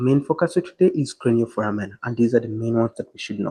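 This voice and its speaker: A man speaks at a very fast pace, with his pitch sitting in the medium range. His pitch moves up and down in an ordinary way. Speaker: anatomy tutor. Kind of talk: lecture tutorial.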